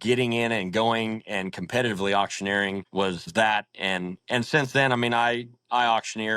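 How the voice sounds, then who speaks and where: Bright, sharp tone with an American accent and fairly even intonation, in a very clean recording against a silent background. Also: man. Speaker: auctioneer and livestock market owner. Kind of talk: casual interview answer.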